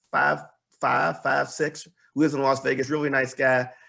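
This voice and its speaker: Monotone, flat delivery from a man at medium pitch, with vocal fry and a bright, sharp tone. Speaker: business advisor. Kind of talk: presentation. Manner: fast.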